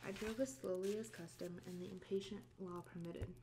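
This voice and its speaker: Speaking fairly quickly with lively intonation, a woman keeps her voice soft-spoken. Her pitch sits fairly low. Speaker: ASMR reader. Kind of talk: book reading, classic novel read aloud. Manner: soft-spoken, relaxing.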